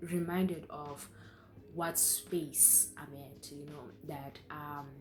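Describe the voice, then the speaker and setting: A woman speaks at a very slow pace, somewhat breathy. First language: not English. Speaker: YouTuber. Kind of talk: casual chat. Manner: halting.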